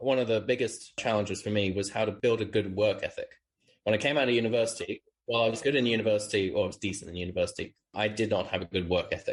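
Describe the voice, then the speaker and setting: A man with a British accent talks at a very fast pace and a medium pitch. His voice is somewhat breathy, with fairly even intonation. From UK. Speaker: startup founder. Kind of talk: interview.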